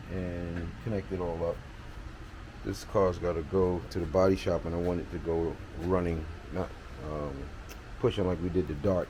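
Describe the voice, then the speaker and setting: A soft-spoken man talks at a very deep, low pitch, somewhat breathy, with a dark, mellow tone. Room echo is audible. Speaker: car restoration hobbyist. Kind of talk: casual video update.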